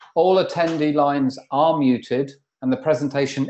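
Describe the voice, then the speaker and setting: A man speaks in a British accent with fairly even intonation. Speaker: webinar moderator, performance engineer. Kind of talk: webinar introduction. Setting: video conference.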